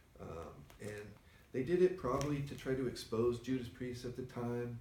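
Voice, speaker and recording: A man at medium pitch and moderate pace, with ordinary pitch variation, big swings in loudness and audible room echo. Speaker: record store owner and show host. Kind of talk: casual chat. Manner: soft-spoken, doesn't project.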